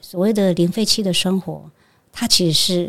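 A woman speaks at a moderate pace with a fairly low pitch. It is a plain, everyday voice. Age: 60s. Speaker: Buddhist monastic. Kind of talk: interview conversation.

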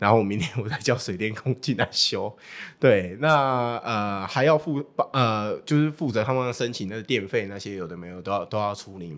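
The recording is very clean, with a silent background, and a man talks at a moderate pace in an ordinary speaking voice. His pitch is medium, his intonation lively, and his loudness swings widely. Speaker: baseball team livestream host and former interpreter. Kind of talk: casual interview chat.

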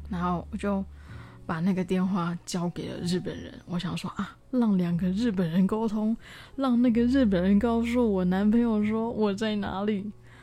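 A woman's somewhat breathy voice, dark and mellow in tone, medium-pitched, with fairly even intonation and a moderate pace. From southern Taiwan. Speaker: podcaster. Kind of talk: personal diary monologue. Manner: hesitant, many fillers.

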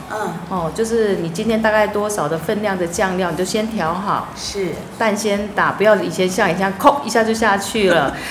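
A woman talks at a moderate pace with hardly any pauses, her medium pitch showing ordinary variation. Noticeable background noise and audible room echo are present. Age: 50s. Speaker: visually impaired homemaker. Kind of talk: casual chat.

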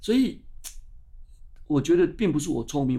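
An animated man with a high pitch and lively intonation, at a moderate pace. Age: 60s. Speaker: science magazine publisher. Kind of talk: interview.

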